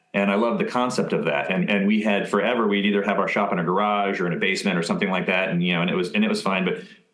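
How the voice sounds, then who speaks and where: A man with an American accent at a fairly low pitch, very fast pace, hardly any pauses, very even loudness, and audible room echo. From Maryland, US. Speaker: upholsterer, business owner. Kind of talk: podcast interview. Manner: halting, many fillers and repetitions.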